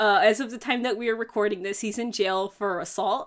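A woman with a normal speaking voice talks at a moderate pace and a fairly high pitch. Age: 20s. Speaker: podcast co-host. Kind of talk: casual chat.

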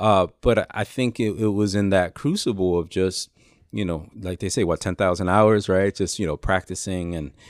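A man with a New York accent and a very deep, low pitch, in a very clean recording over a silent background. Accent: New York City. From New York City, Lower East Side of Manhattan. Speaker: author and pastor. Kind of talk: interview.

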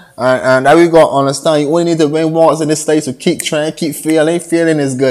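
A man talks very fast with a Barbadian accent. His pitch is fairly high. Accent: Barbadian (Bajan) Caribbean English. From Barbados. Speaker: upcoming musician giving motivational talk. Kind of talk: motivational monologue. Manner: animated.

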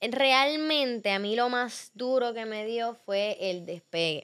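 Her voice high-pitched and animated, a woman speaks with lively intonation in a Puerto Rican accent. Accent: Puerto Rican, noticeable. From Puerto Rico. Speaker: athlete. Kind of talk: casual chat.

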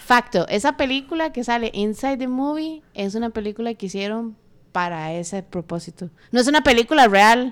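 An unremarkable speaking voice: a woman, fairly high in pitch, lively in intonation, at a moderate pace, with big swings in loudness, on a very clean recording with a silent background. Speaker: podcast co-host. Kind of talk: casual chat.

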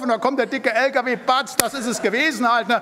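Noticeable background noise is present. Over it, a man keeps a moderate pace. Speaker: preacher. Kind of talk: sermon. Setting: church. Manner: emphatic.

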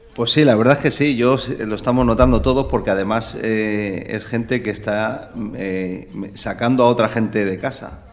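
A man speaks at a medium pitch with fairly even intonation and a moderate pace. Audible room echo and noticeable background noise fill the recording. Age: 40s. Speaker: village mayor. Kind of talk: radio interview. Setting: town hall. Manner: halting.

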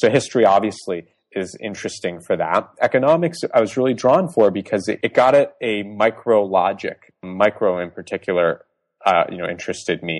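An unremarkable speaking voice from a man with an American accent, medium pitch, lively intonation and a fairly quick pace, dry and close with no echo. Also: quiet background. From US Northeast, suburban Boston. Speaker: tech startup co-founder. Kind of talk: interview.

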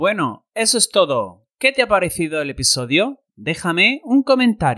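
A man's high voice with very wide pitch swings and hardly any pauses, dry and close with no echo, on a very clean recording with a silent background. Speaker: podcast host and online Spanish teacher. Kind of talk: interview for Spanish learners. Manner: slow, clear delivery for learners.

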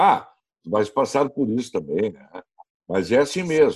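A man's lively intonation in a southern Brazilian accent. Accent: southern Brazilian (gaúcho) Portuguese. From Brazil, Rio Grande do Sul (Novo Hamburgo). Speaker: radio sports commentator. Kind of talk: casual interview. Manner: animated.

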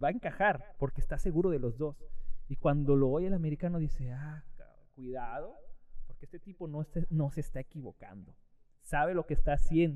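A man with a dark, mellow tone, a fairly quick pace and big swings in loudness. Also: fairly high pitch for a man, ordinary pitch variation. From Mexico, Guerrero (Acapulco). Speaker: jazz musician and teacher. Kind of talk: casual chat.

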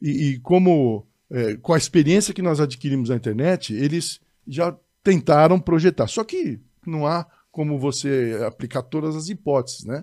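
Fairly high male voice, dark and mellow in tone, at a moderate pace with ordinary pitch variation, on a very clean recording with a silent background. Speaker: judge. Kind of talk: casual chat.

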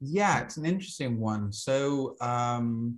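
A man talks at a very slow pace with a medium pitch. The background is quiet. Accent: American. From US South, Alabama. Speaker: astrologer and herbalist. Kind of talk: interview conversation.

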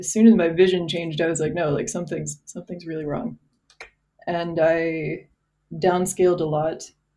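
A woman speaks at a moderate pace in a normal speaking voice. Her pitch is fairly low. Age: 20s. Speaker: former software engineer. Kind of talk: casual chat.

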